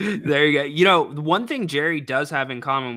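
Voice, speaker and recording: At a fairly quick pace, a man uses an ordinary speaking voice, fairly high in pitch with ordinary variation. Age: 30s. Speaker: sports radio host. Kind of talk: casual chat.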